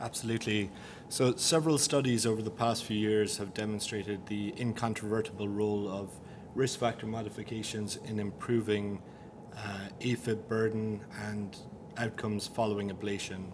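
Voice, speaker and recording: Noticeable background noise sits behind a man speaking at a moderate pace. His pitch is fairly low and his intonation fairly even. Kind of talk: interview answer presenting study results. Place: meeting room. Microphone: podium.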